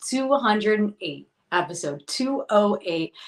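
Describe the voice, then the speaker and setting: A woman with a plain, everyday voice speaks at a medium pitch with lively intonation. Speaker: podcast host. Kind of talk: show intro to camera.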